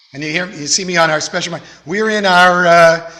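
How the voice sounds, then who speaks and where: The voice carries fairly even intonation, with audible room echo and noticeable background noise. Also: man. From Texas, Houston. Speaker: rabbi. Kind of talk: sermon.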